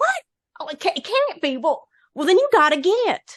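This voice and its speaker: A put-on character voice at an extremely high pitch with very wide pitch swings. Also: moderate pace. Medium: read story. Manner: gentle, easygoing.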